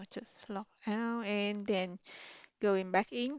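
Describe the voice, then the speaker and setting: Speaking very slowly, a woman keeps a medium pitch and fairly even intonation. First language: Vietnamese. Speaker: university lab instructor. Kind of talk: tutorial. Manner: casual, with fillers.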